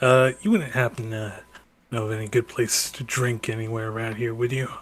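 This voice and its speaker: A man puts on a character voice at a medium pitch. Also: moderate pace. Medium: actual play. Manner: casual, folksy.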